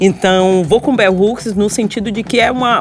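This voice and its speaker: A woman at a medium pitch in a Bahian accent, with music in the background. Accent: Bahian accent, kept deliberately. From Salvador, Bahia, Brazil. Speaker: historian and university professor. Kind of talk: interview conversation. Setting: podcast recording on location.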